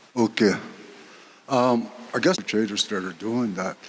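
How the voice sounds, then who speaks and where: A man at a medium pitch and moderate pace, over noticeable background noise. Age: 60s. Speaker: community member asking questions. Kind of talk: audience question at community meeting. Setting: community hall meeting with audience.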